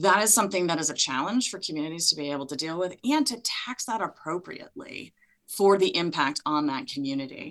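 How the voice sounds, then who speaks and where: Big swings in loudness and lively intonation mark this woman's ordinary speaking voice, pitched fairly low. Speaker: municipal association legislative advocate. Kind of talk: panel discussion.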